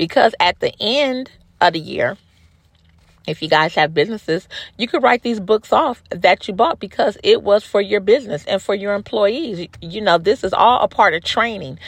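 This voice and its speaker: At a moderate pace, a woman with a medium pitch speaks in lively intonation, the sound dry and close with no echo. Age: 50s. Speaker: beauty supply store owner. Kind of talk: casual monologue.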